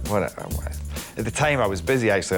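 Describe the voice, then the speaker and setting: A man's very deep, low voice in a strong Scottish accent, with very wide pitch swings and music in the background. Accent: thick Scottish. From Scotland. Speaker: actor. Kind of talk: interview answer.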